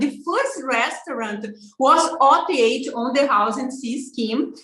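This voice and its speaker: A high-pitched woman's voice with a Brazilian accent, lively intonation and audible room echo. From Brazil, southern barbecue state. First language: Portuguese. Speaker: social media influencer. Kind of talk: interview. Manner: halting, many fillers.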